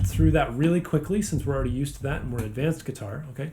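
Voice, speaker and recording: Fairly high in pitch with ordinary pitch variation, a man talks in an unremarkable speaking voice. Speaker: guitar teacher. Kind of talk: tutorial.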